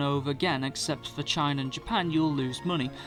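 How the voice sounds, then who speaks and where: The speaker talks at a fairly quick pace with music in the background. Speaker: gaming guide commentator. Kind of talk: game tutorial voice-over. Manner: not very energetic.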